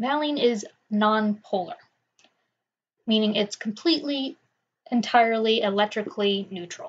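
A woman with a fairly high, somewhat breathy voice speaks with lively intonation and long, frequent pauses. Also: moderate pace. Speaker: professor. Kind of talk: lecture. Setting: quiet recording.

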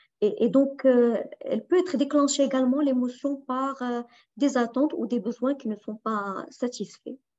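Against a quiet background, a woman speaks at a fairly slow pace with a high pitch and ordinary pitch variation. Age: 40s. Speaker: life coach and trainer; personal coach presenter. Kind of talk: online workshop talk. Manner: halting. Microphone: video call.

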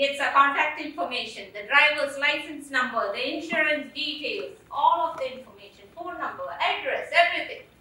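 In an Indian accent, a woman uses a raised, projected voice at a high pitch, with lively intonation and big swings in loudness. She keeps a moderate pace with hardly any pauses, and the room echo is audible. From India, Kerala. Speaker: storyteller. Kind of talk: personal storytelling on stage. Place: stage.

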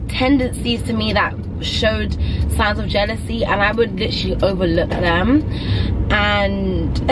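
A woman talks at a fairly slow pace. Background noise is noticeable. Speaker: vlogger. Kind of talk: casual vlog chat. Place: car. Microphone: phone near.

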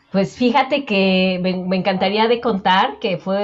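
Here a woman talks with ordinary pitch variation. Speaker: personal finance coach guest. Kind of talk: interview answer. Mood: warm, smiling, reflective. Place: home room. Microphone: earbuds.

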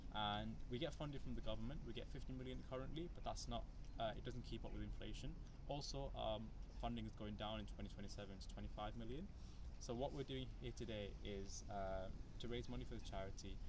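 Noticeable background noise runs under the recording. Over it, a man talks at a very fast pace. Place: street. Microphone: camera far.

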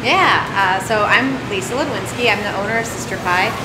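Loud background noise fills the clip. Through it, a woman can be heard talking. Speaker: interview guest. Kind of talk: interview answer. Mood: relaxed, friendly. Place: shop.

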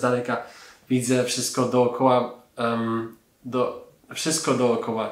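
With audible room echo, a man delivers his words in a monotone, flat intonation. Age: 30s. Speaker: laser eye surgery patient. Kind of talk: patient testimonial; testimonial interview answer. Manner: hesitant, frequent fillers. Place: office.

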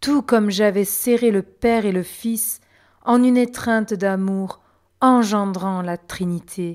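On a very clean recording with a silent background, a woman speaks very slowly at a medium pitch. Her tone is solemn and gentle, with fairly even intonation. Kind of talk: devotional reading aloud of mystical text, first-person as Mary and the Spirit. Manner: slow, solemn, reverent, gentle, tender cadence.

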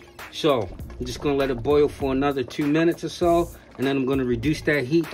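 The speech moves at a fairly quick pace, with faint music in the background. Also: man. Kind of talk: tutorial. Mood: relaxed, casual. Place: kitchen. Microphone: phone near.

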